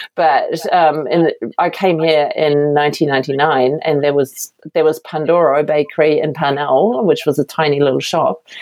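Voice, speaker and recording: The speaker has a German accent and a fairly slow pace. Loudness stays very even and intonation fairly even. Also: woman, very deep, low pitch for a woman. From Germany, Berlin. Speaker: baker and bakery owner. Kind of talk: interview.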